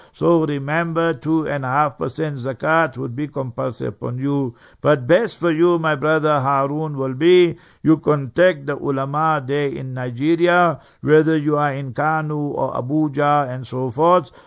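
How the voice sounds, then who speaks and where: In an unremarkable speaking voice, a man talks at a fairly slow pace with fairly even intonation. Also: fairly high pitch for a man. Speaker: Islamic scholar. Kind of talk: religious lecture and Q&A. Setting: radio studio.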